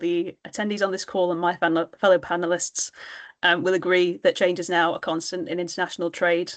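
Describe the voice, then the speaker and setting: A woman with a British accent, fairly low pitch, monotone and flat intonation, and a fairly quick pace, over a quiet background. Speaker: trade policy panelist. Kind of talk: webinar panel discussion. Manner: hesitant, many filler words.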